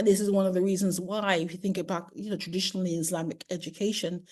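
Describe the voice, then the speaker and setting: A woman with a dark, mellow, somewhat breathy tone speaks against a quiet background. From UK. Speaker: primary educator. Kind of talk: webinar lecture. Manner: fast.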